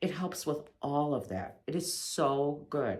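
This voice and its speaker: Audible room echo is present. Through it, a woman speaks. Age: 60s. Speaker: patient giving testimonial. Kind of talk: testimony. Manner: halting, with false starts.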